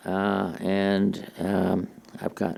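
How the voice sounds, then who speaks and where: A man's dark, mellow tone at a fairly low pitch. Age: 80s+. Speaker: retired missionary and theologian. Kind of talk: interview conversation.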